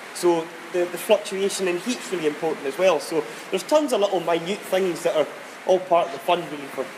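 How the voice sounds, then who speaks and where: Over noticeable background noise, a man with a Scottish accent speaks at a very fast pace, his high pitch showing ordinary variation. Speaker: distillery warehouse guide. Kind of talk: whisky tasting talk.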